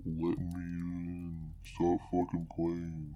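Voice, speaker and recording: This man puts on a character voice pitched very deep and low. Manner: halting.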